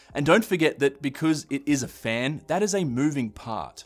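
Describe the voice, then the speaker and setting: Over music in the background, a man with an Australian accent speaks at a moderate pace with lively intonation. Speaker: tech youtuber. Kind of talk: tech review talk to camera. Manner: casual, conversational.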